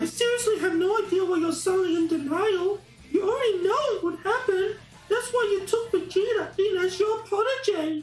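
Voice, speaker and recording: With clear background noise, a female-sounding voice uses a squeaky, put-on character voice at an extremely high pitch and a moderate pace. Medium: read story. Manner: nonchalant drawl.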